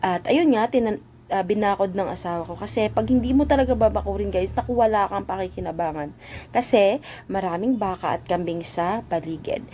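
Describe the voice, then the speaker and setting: A woman with a dark, mellow tone and vocal fry talks at a fairly quick pace with lively intonation. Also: medium pitch for a woman. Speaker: vlogger. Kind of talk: casual voice-over narration.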